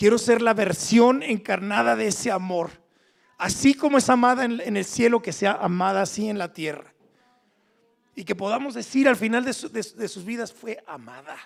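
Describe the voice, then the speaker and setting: At a moderate pace, a man talks in a high voice, his loudness swinging widely. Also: ordinary pitch variation. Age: 60s. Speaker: preacher. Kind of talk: sermon. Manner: halting.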